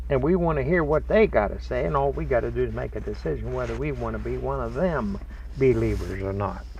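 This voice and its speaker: Speech comes at a very fast pace with ordinary pitch variation. Noticeable background noise and audible room echo are present. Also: man, very deep, low pitch for a man. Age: 70s. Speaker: religious teacher. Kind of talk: spiritual talk. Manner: folksy, conversational.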